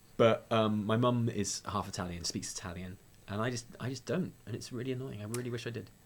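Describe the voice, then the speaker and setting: Speaking at a fairly quick pace in a Welsh accent, a man uses a medium pitch with ordinary pitch variation. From Wales. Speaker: podcast co-host. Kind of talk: casual chat.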